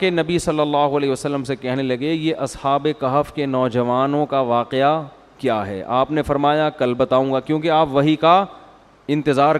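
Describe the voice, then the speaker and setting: A man with a normal speaking voice speaks at a fairly high pitch, with ordinary pitch variation. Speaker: Islamic scholar giving a sermon. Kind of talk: religious sermon, storytelling lecture. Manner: conversational, explanatory.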